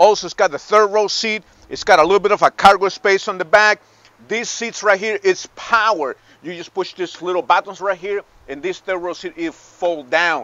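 With a dry sound and no echo, a man speaks at a high pitch and moderate pace, his intonation fairly even. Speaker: car salesman. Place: street. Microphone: phone near.

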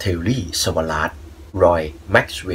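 A man's very deep, low voice, somewhat breathy, with ordinary pitch variation. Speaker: movie review channel host. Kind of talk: radio-style movie recommendation narration.

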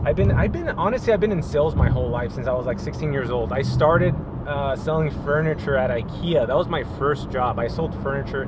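Loud background noise surrounds a man's voice, which sounds dry with no echo. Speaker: real estate agent vlogger. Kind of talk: casual vlog chat. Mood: upbeat, relaxed. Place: car. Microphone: phone near.

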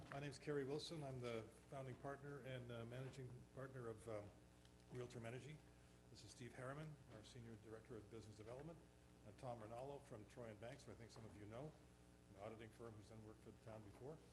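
A man rattles along at a very fast pace with audible room echo around him. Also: medium pitch for a man, fairly even intonation. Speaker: energy company founder. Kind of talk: business presentation. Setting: town council work session. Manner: soft-spoken. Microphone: too quiet, far from the mic.

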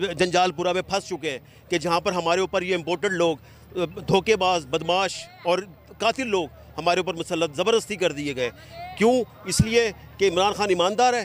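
Crowd noise sits behind a man speaking fairly slowly at a high pitch with ordinary pitch variation, his sound dry with no echo. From Pakistan, Multan; Pakistan. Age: 50s. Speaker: rally attendee interviewed by reporter; interviewee. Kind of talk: street interview. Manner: impassioned, animated. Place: stadium.

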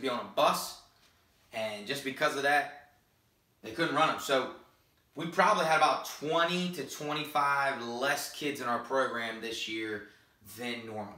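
A man at a moderate pace with ordinary pitch variation, big swings in loudness, and audible room echo. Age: 20s. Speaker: high school football coach. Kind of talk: vlog monologue. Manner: hesitant, many fillers. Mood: earnest, confessional. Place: home room. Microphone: camera far.

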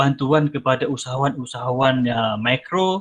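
It is a man, talking very slowly. Nothing much is heard behind him. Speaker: bank manager. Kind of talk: webinar presentation. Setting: video call. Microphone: headset.

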